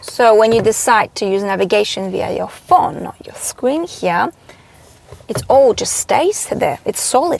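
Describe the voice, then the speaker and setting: A woman with a non-native accent speaks at a fairly slow pace over noticeable background noise. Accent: foreign accent, self-described as bushy. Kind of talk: car review vlog. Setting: in a car. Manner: animated.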